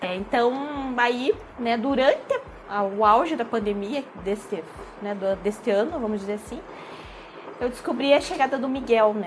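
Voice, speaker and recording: A woman's fairly slow speech, with ordinary pitch variation, is heard against noticeable background noise. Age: 20s. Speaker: eyebrow designer and mother. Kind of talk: casual interview.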